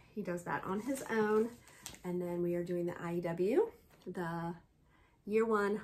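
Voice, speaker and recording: With light background noise behind her, a woman speaks at a fairly slow pace with ordinary pitch variation. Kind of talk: casual vlog chat. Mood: warm, upbeat. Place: home room. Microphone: phone near.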